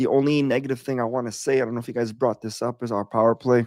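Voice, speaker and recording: Medium pitch from a man, dark and mellow in tone, monotone and flat in intonation, over a silent background in a very clean recording. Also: dry, close sound with no echo. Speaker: hockey podcast co-host. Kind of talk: casual chat.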